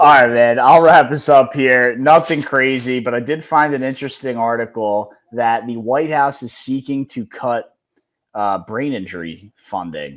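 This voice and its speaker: The loudness swings widely while pitch variation stays ordinary, at a moderate pace on a very clean recording with a silent background. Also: man, medium pitch for a man. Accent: Philadelphia. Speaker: sports podcast co-host. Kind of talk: casual chat.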